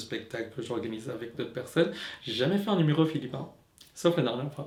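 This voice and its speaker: Noticeable background noise behind a man's voice of ordinary pitch variation. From Philippines. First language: Tagalog (speaking French). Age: 20s. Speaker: drag queen. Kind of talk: personal testimony. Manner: halting, many repetitions and fillers.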